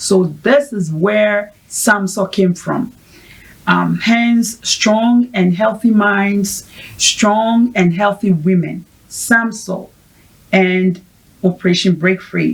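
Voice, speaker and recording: A woman's somewhat breathy voice at a very slow pace, with fairly even intonation. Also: medium pitch for a woman. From Ghana. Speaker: mental health advocate, founder of women's support project. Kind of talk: interview.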